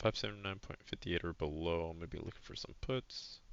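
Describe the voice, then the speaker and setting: A man speaks softly. His pitch is very deep and low. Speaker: retail options trader, trading journal vlogger. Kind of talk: screen-share trading recap. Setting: home, recording at a computer. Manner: quiet, soft-spoken; casual, with many fillers.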